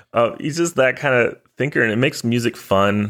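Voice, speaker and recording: A man speaks in an ordinary speaking voice, medium in pitch, with an American accent. The recording is very clean, with a silent background. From Texas. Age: 30s. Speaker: podcast host, trombonist. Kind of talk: read-out sponsor and show plugs; casual podcast chat.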